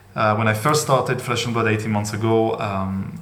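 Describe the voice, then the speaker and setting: A man with a fairly low pitch and a non-native accent speaks at a moderate pace, with audible room echo and noticeable background noise. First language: not English. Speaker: trading card collector, channel owner. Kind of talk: casual monologue video. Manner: hesitant, many fillers.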